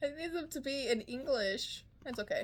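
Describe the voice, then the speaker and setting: A woman's animated tone at a moderate pace. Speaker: K-pop reaction youtuber. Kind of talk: casual reaction video.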